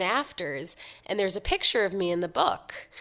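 A woman with an unremarkable speaking voice talks at medium pitch with ordinary pitch variation, in a very clean recording with a silent background. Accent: American. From New York City, Upper East Side Manhattan. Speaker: website founder and writer. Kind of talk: interview.

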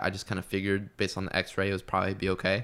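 A man with an American accent, fairly low in pitch and very fast in pace, on a very clean recording with a silent background. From US Midwest. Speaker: fitness coach. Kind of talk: casual chat.

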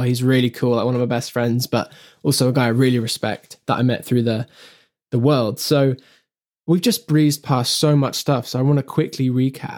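An unremarkable speaking voice from a man, medium in pitch, moderate in pace and fairly even in intonation. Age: 20s. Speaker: podcast host and songwriter. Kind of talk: casual podcast chat.

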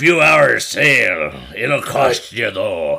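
A man in a put-on character voice at a very slow pace, with light background noise. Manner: gruff, playful.

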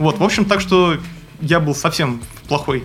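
A man's voice, fairly high in pitch with normal variation in its melody, comes through while music plays behind him. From Moscow, Russia. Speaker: wildlife researcher. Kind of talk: interview. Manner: halting with many fillers.

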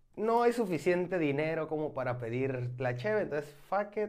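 A man's ordinary speaking voice, fairly high in pitch, at a moderate pace with lively intonation. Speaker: beer podcast host. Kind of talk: casual chat.

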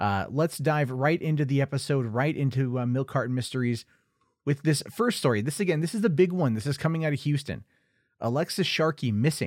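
A man with an unremarkable speaking voice talks at a fairly quick pace and a fairly high pitch. The recording is very clean with a silent background, and his pitch variation is ordinary. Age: 30s. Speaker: true crime podcast host. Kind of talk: casual podcast monologue.

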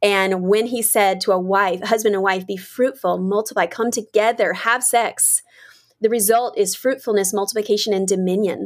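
A woman with an American accent and a plain, everyday voice speaks at a moderate pace in a medium pitch with fairly even intonation, on a very clean recording with a silent background. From US South. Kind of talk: interview conversation.

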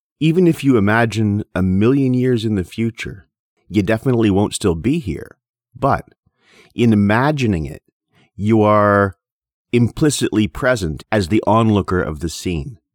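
A man speaks in an ordinary speaking voice, fairly low in pitch. His intonation is lively and his pace moderate. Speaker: podcast host. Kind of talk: poem reading; solo lecture-style podcast. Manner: measured, rhythmic, reading verse aloud.

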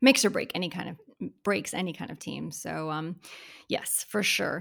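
A woman with an American accent speaks with vocal fry and ordinary pitch variation. The recording is very clean, with a silent background. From Florida. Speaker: podcast host and real estate broker. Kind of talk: casual interview.

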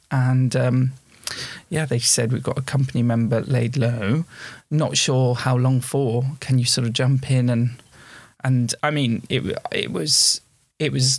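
At a fairly slow pace, a man speaks in a somewhat breathy, medium-pitched voice with very even loudness in a very clean recording with a silent background. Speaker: theatre performer and theatre school owner. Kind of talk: casual chat.

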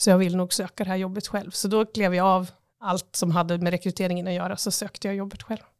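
Talking at a very fast pace, a woman keeps a medium pitch and a monotone, flat intonation. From Östersund, Jämtland, Sweden. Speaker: tourism agency CEO. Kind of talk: interview. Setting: office.

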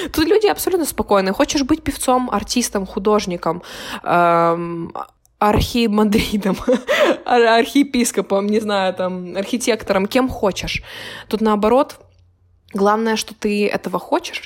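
A woman's fairly high voice with a slight Ukrainian accent, moderate in pace and lively in intonation, with long, frequent pauses. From Ukraine. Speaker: university student. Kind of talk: casual chat.

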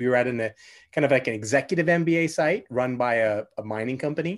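A man with a normal speaking voice and a Canadian accent, fairly high in pitch, fairly quick, with ordinary pitch variation over a quiet background. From Canada, Vancouver. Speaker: podcast host and business coach. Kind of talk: casual interview chat.

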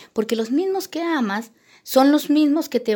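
On a very clean recording with a silent background, a woman talks at a moderate pace with lively intonation. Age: 50s. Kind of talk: testimony.

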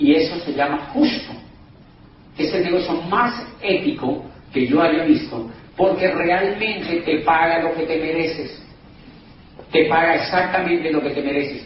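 Fairly slow speech with ordinary pitch variation and long, frequent pauses is heard through audible room echo and noticeable background noise. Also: man, high pitch for a man. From Colombia, Cali. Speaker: business opportunity presenter. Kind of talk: sales pitch.

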